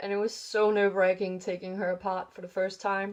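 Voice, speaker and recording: A woman mumbles her words. Her pitch is medium. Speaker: doll hobby vlogger. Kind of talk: casual vlog chat. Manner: mumbling, many fillers.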